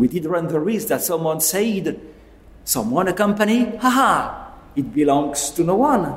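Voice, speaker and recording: Speaking at a very slow pace, a man uses a high pitch with very wide pitch swings. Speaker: network engineer. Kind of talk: interview.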